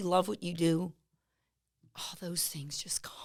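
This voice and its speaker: A woman with a medium pitch and an animated tone at a moderate pace. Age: 60s. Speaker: salon owner. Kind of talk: casual chat. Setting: studio.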